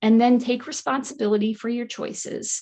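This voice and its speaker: This is a woman with a fairly high pitch. Her voice is somewhat breathy. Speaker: nutrition counselor and wellness coach. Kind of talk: online workshop presentation. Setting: live online workshop. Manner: fast.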